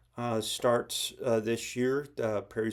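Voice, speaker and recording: Speaking at a moderate pace, a man holds a medium pitch in a monotone, flat intonation. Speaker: cross stitch video blogger. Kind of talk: casual vlog talk. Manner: halting with many fillers.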